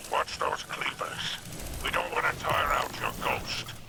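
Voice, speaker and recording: A man speaks in a put-on character voice at a fairly slow pace over loud background noise. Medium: machinima. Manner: sly, drawling, amused.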